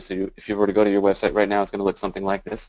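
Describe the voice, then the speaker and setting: The background stays quiet while a man speaks. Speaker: webinar presenter. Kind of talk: webinar presentation. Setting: online webinar. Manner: fast; many filler words.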